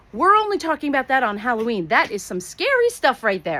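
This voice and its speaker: At a moderate pace, a woman speaks at a high pitch with very wide pitch swings. Noticeable background noise runs underneath. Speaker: school principal. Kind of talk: school morning announcements. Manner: animated.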